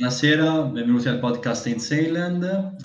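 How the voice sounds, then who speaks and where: A man at a moderate pace, with audible room echo. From Tuscany. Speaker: podcast host. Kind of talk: casual chat.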